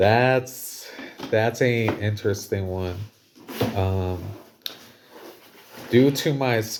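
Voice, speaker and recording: Very slow speech with long, frequent pauses over noticeable background noise. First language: Spanish. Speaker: school staff member answering interview questions. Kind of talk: casual Q&A interview. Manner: halting, many fillers.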